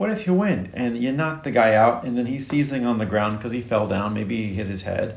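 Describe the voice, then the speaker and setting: A man is speaking. Audible room echo is present. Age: 40s. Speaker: nurse. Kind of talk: casual chat.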